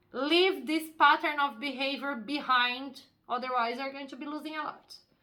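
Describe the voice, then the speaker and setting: Raised and projected, a woman's high voice with a bright, sharp tone keeps fairly even intonation at a moderate pace while swinging greatly in loudness. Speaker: tarot reader. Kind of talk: tarot reading. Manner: casual, conversational.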